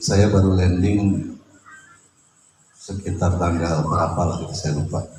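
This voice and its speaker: There is audible room echo as a man with a very deep, low pitch talks at a moderate pace with fairly even intonation. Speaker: host of the gathering, Islamic cleric. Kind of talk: welcome speech. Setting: home gathering.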